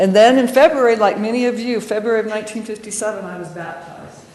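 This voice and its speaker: With an American accent, a woman talks at a very fast pace amid audible room echo and noticeable background noise. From Colorado, US. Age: 50s. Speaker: church member sharing testimony. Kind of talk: testimony.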